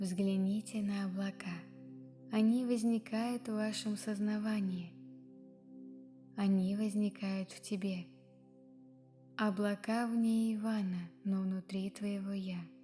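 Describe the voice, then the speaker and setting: A soft-spoken woman with a medium pitch speaks very slowly in a monotone, flat way. She leaves long, frequent pauses over music in the background. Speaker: ASMR / meditation reader. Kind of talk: guided meditation reading. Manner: quiet, soft-spoken.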